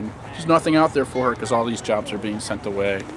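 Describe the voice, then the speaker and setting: A man with a Maine accent talks at a very fast pace over noticeable background noise. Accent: New England (Maine). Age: 20s. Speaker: protester. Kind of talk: street interview. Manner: halting.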